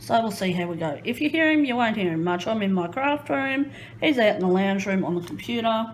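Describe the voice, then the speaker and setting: Audible room echo around a woman's voice. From Queensland, Australia. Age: 30s. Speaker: crafting YouTuber. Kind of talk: casual chat. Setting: home craft room.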